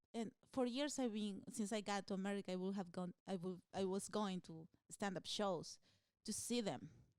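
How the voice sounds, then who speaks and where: A woman with a Spanish accent speaks at a moderate pace and medium pitch, the sound dry and close with no echo. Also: ordinary pitch variation. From Peru. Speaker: stand-up comedian. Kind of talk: interview answer.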